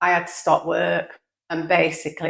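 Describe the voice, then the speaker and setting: With vocal fry, a woman speaks at a moderate pace in a very deep, low pitch. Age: 60s. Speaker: retired small business owner. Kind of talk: casual vlog monologue. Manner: halting.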